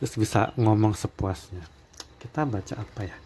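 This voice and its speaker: Against noticeable background noise, a soft-spoken man with a fairly low pitch talks at a moderate pace with ordinary pitch variation. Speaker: tarot reader. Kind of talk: tarot reading monologue. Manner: soft-spoken, quiet to avoid neighbours hearing.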